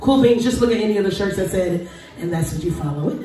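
Light background noise sits under the voice. Room echo is audible. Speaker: host. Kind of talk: stage banter to audience. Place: stage. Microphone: pa.

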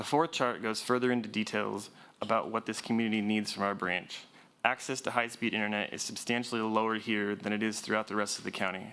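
Talking very fast at a fairly low pitch, a man has a bright, sharp tone and fairly even intonation. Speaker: library branch manager. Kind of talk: presentation at a public board meeting. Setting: board meeting on microphone.

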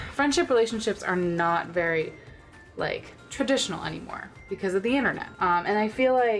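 A woman speaks at a moderate pace. Faint music can be heard in the background. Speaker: vlogger. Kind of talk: casual vlog chat. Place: home room. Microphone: camera far.

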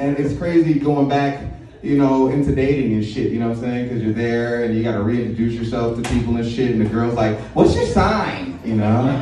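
Speaking fairly quickly with fairly even intonation, a man with an American accent is heard with audible room echo and light background noise. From Chicago, US Midwest. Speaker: stand-up comedian. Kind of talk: stand-up comedy set, confessional one-liners. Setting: stage with live audience. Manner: crude punchline-driven delivery, laughing at own jokes. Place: stage.

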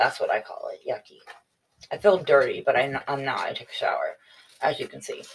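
Her loudness swinging widely, a woman talks at a fairly quick pace broken by long, frequent pauses. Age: 40s. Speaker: beauty vlogger. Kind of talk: casual unboxing vlog. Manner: chatty. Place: home room. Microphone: webcam.

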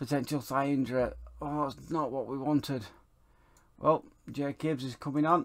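A man speaks in a fairly high voice. He leaves long, frequent pauses. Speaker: gaming YouTuber. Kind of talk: football game let's play with live-style match commentary. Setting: home recording, voiceover over game footage. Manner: fast, clipped play-by-play of passes and shots, rising to an excited 'Oh, and he scores'.

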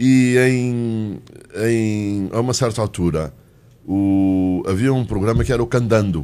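At a very slow pace, a man speaks with a dark, mellow tone. His pitch is medium, with ordinary pitch variation. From Angola (Uíge) and Portugal; Angola. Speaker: economics journalist. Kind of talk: panel interview. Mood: reflective storytelling. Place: studio. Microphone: studio mic.

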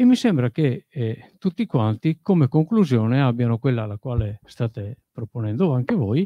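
At a moderate pace, a man speaks in a somewhat breathy voice, with a quiet background and a dry sound that has no echo. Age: 40s. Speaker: audience member. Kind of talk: audience question. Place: hall.

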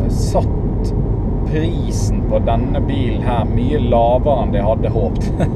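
Loud background noise surrounds a man whose voice comes through dry, with no echo. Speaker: driver vlogger. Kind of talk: casual vlog chat. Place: car. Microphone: camera far.

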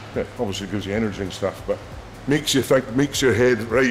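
With music playing in the background, a man speaks at a fairly quick pace. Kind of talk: interview answer. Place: gym. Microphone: lapel.

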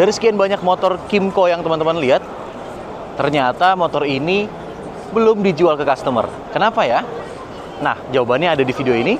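Over noticeable background noise, a man talks at a very fast pace, and the sound is dry with no echo. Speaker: travel channel host. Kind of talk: casual vlog presenting. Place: hall. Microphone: lapel.

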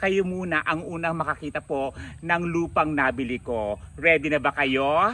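The voice has a bright, sharp tone and ordinary pitch variation. The recording is very clean, with a silent background. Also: man. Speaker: vlogger. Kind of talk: vlog monologue. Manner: animated.

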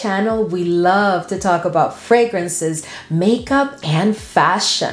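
In a room with audible echo, a woman speaks at a fairly slow pace. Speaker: fragrance creator. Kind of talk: casual vlog chat.

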